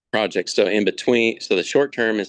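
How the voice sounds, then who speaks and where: A man talks at a moderate pace with fairly even intonation. The sound is dry and close with no echo, over a quiet background. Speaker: farmer. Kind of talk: presentation on a video call. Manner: halting, many fillers.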